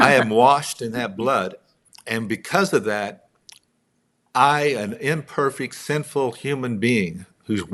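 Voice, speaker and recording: In a very clean recording with a silent background, a man with an American accent speaks very slowly at a medium pitch, using lively intonation and a bright, sharp tone, with long, frequent pauses. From Texas, Midland. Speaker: songwriter and author. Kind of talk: interview conversation.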